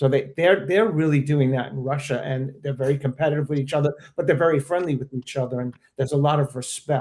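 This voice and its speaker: Somewhat breathy and fairly high-pitched, a man talks at a very fast pace with fairly even intonation. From Maryland and New York. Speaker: veteran locking dancer. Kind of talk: casual panel discussion. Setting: live stream.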